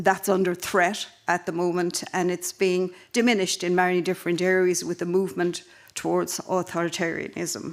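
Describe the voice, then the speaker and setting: Spoken at a moderate pace in an Irish accent, the voice stays monotone with flat intonation. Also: woman. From Ireland. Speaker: panel chair at a conference. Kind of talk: conference panel introduction. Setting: conference in Helsinki.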